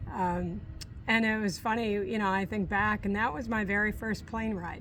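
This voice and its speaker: In an American accent, a woman talks with monotone, flat intonation amid audible room echo. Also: medium pitch for a woman, moderate pace. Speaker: retired teacher. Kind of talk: casual interview chat.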